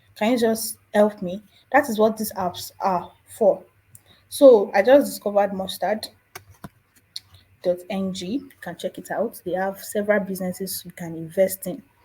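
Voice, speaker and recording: A woman with a Nigerian accent speaks at a moderate pace and medium pitch in a dark, mellow, somewhat breathy tone, with ordinary pitch variation, big swings in loudness and long, frequent pauses. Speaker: personal finance youtuber. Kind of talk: casual tutorial.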